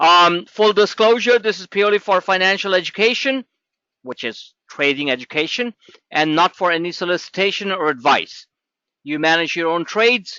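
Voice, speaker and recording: Lively intonation from a man, high in pitch, at a moderate pace. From New York. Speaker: trading educator. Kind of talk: webinar presentation. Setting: webinar. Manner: energetic.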